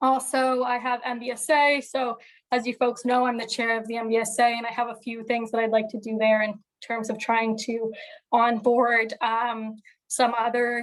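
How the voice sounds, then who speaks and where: A woman speaks in a fairly high pitch with monotone, flat intonation. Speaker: student association executive. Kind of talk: meeting report. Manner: fast.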